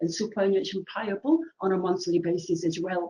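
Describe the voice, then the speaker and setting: A woman with an ordinary speaking voice talks at a moderate pace, her intonation lively. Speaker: assessor running a training webinar. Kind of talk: tutorial webinar. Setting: online webinar with screen share.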